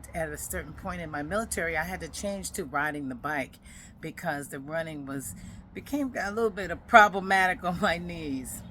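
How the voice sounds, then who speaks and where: A normal speaking voice delivers lively intonation, neither rushed nor slow, at a moderate pace. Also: woman, fairly low pitch for a woman. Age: 60s. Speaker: podcast host, retired military veteran. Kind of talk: personal podcast monologue. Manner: conversational.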